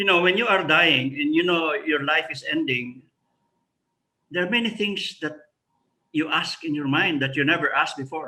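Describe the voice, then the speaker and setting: Long, frequent pauses break up this man's speech. His pitch is fairly high and his tone bright and sharp. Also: ordinary pitch variation, moderate pace. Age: 70s. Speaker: retired professor. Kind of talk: interview.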